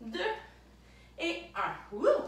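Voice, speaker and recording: A woman speaks over light background noise, with audible echo in the room. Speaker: fitness instructor. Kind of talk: workout instruction. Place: home room. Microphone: camera far.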